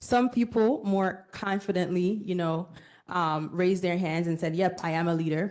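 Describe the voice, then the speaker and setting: In a Jamaican accent, a woman with a medium pitch speaks at a moderate pace with ordinary pitch variation. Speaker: workshop speaker, bank professional. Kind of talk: conference presentation to students. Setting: conference room with student audience. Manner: interactive, conversational.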